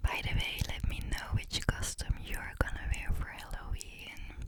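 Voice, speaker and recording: Someone is whispering at a fairly slow pace. Noticeable background noise sits underneath. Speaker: ASMR creator. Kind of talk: whispered story reading.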